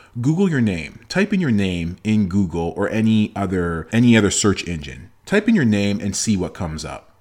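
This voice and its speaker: In a very clean recording with a silent background, a man with a Toronto accent speaks at a moderate pace and fairly low pitch, in an animated tone with lively intonation and hardly any pauses. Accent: Canadian (Toronto). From Toronto, Canada. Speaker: motivational podcaster and speaker. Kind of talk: motivational monologue.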